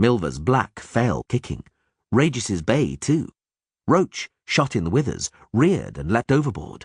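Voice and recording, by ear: Against a quiet background, the reading aloud comes in a natural voice.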